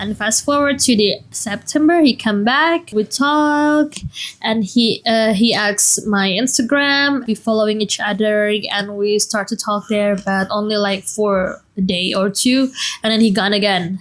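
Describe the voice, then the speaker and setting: A woman's fairly high voice with a non-native accent, ordinary pitch variation and a fairly slow pace. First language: not English. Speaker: vlogger. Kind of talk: casual personal storytelling.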